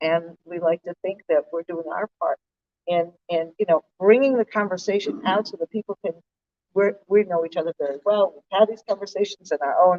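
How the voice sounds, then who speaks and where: A woman with an American accent, a plain, everyday voice, speaks at a medium pitch and moderate pace with ordinary pitch variation in a dry, close sound with no echo. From United States. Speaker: nonprofit director. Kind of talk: panel talk. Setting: stage with audience.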